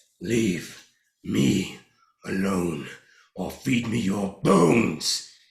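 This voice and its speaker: A man speaks in a put-on character voice, raspy and fairly low in pitch, with a slight echo. He goes at a very slow pace with long, frequent pauses. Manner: menacing, threatening.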